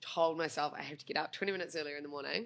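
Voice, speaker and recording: In a New Zealand accent, a woman with a very deep, low pitch talks at a very fast pace. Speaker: breakfast radio co-host. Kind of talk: casual chat.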